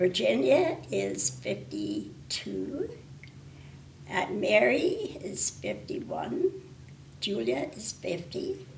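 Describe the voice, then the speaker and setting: A woman's loudness swings widely, with long, frequent pauses. Noticeable background noise runs underneath. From northwestern Ontario, Canada (Thunder Bay). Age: 80s+. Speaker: retired librarian. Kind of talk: interview. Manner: hesitant, with fillers.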